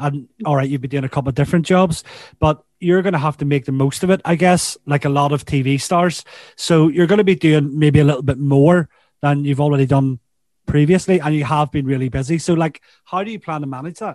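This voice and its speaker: A man with a Northern Irish accent, fairly high pitch and fairly even intonation, at a fairly quick pace, in a dry, close sound with no echo over a quiet background. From Northern Ireland. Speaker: podcast host. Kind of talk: casual chat. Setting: video call.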